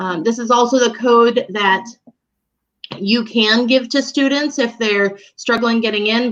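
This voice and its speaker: A woman's plain, everyday voice, fairly high in pitch, at a moderate pace. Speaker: elementary school teacher. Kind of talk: tutorial. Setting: online live broadcast.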